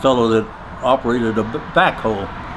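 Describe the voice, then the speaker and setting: A man at medium pitch with a Midwestern accent, at a moderate pace. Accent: American Midwestern. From Nebraska, USA. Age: 80s+. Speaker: artist, creator of a car sculpture. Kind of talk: interview answer.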